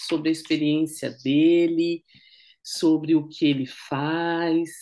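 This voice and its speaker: Against a quiet background, a woman with a fairly low pitch speaks at a very slow pace. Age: 50s. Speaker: educator and interviewer. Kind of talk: interview.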